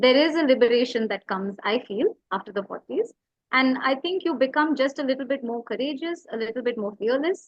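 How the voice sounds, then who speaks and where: A woman speaks at a high pitch and a fairly quick pace, her intonation lively. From India, Tamil Nadu. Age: 40s. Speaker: writer and educator. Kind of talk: interview conversation. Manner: hesitant, many fillers.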